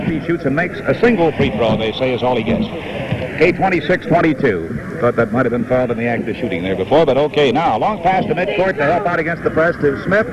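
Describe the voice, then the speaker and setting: The speech moves at a very fast pace with very wide pitch swings. Noticeable background noise runs underneath. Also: man, fairly high pitch for a man. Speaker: radio sports announcer. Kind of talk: live basketball radio play-by-play. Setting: vintage radio broadcast from a stadium. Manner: quick, clipped game-action calling.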